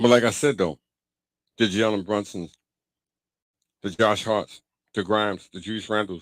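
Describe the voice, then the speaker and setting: A man with a Brooklyn accent speaks in a fairly low pitch and an animated tone at a moderate pace. His loudness swings widely, and he takes long, frequent pauses. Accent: New York (Brooklyn). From New York, Brooklyn (Bedford-Stuyvesant). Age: 50s. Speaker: basketball podcaster and commentator. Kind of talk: casual solo podcast monologue. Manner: animated, repetitive.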